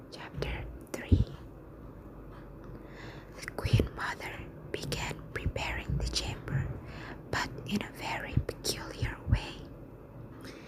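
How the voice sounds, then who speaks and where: The speech is whispered at a very slow pace, broken by long, frequent pauses. Noticeable background noise can be heard throughout. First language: not English. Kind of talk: whispered ASMR bedtime story reading.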